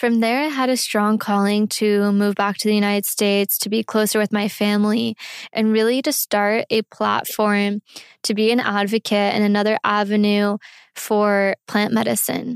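A woman speaks in an American accent at a medium pitch, her loudness very even. Her intonation is monotone and flat, and the sound is dry and close with no echo. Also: moderate pace. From US South and Costa Rica. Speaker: podcast host. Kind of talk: personal storytelling monologue. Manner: warm, earnest.

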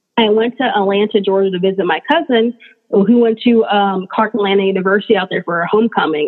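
A woman with an American accent speaks in a normal speaking voice at a medium pitch. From California. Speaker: insurance industry diversity director. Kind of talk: interview.

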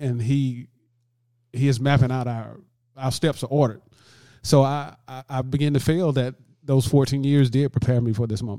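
A man with a Southern US accent speaks at a moderate pace in a medium pitch, with a dark, mellow tone. His intonation is fairly even, broken by long, frequent pauses. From US South, Alabama. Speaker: musician and hospice volunteer. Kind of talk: interview. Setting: studio.

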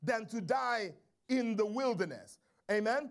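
The tone is animated. The intonation is lively. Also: man. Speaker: preacher. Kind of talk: sermon in full flow, call-and-response with the congregation, preaching from Exodus. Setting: church. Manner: animated, urgent, exhortative, repeating key phrases and prompting the church to say amen; rhetorical questions, rising intensity, occasionally digressing then catching himself.

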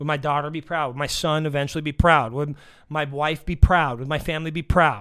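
A loud man with a bright, sharp tone at a fairly quick pace, in a very clean recording with a silent background. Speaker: podcast host. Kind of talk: motivational monologue. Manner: animated.

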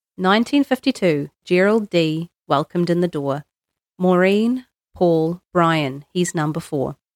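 A woman talks with a New Zealand accent at a fairly slow pace. Her intonation is lively, and the sound is dry and close with no echo. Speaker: librarian. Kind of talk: reading aloud.

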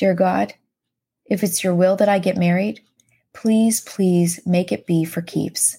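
Her voice is a medium pitch with a dark, mellow tone and somewhat breathy quality, as this woman speaks at a fairly slow pace with fairly even intonation. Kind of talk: devotional podcast reading her old journal aloud, with a closing blessing; fervent prayer read aloud from her journal. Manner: earnest, heartfelt, pleading.

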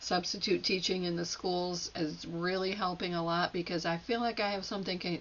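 With an unremarkable speaking voice, this woman keeps a moderate pace, her pitch fairly low and her intonation fairly even. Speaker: solo podcaster playing therapist and patient. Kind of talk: solo self-help monologue, reflective. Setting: home recording at a microphone.

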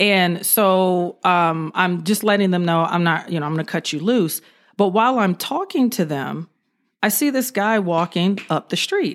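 At a moderate pace and with ordinary pitch variation, a woman speaks on a very clean recording with a silent background. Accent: American. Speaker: retired police officer. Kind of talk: casual interview, storytelling.

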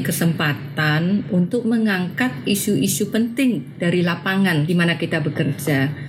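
Amid noticeable background noise and audible room echo, a woman speaks with a fairly low pitch and lively intonation. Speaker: education program specialist. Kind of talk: interview. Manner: halting.

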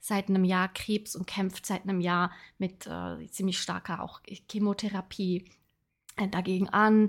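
The recording is very clean, with a silent background. A woman speaks in a monotone, flat intonation. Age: 30s. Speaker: podcast host, personal development coach. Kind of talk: casual personal monologue. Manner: filler-heavy, halting.

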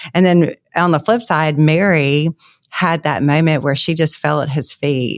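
A woman's very deep, low voice with a Southern US accent, at a fairly slow pace with ordinary pitch variation, dry and close with no echo. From Louisiana. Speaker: author. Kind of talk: interview.

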